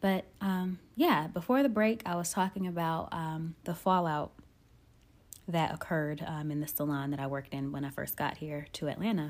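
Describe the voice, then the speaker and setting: A woman's ordinary speaking voice, fairly low-pitched, with ordinary pitch variation at a moderate pace, on a very clean recording with a silent background. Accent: American. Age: 20s. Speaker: nail technician and podcast host. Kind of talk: casual solo podcast monologue.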